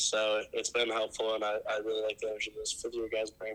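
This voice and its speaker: A man of medium pitch at a fairly quick pace, with noticeable background noise. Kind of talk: interview answers.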